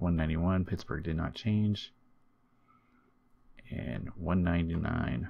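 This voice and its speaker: A man speaks quietly in a very deep, low voice. He leaves long, frequent pauses. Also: ordinary pitch variation, fairly slow pace. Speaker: video game streamer. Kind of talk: gaming commentary. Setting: home recording in new room. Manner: casual.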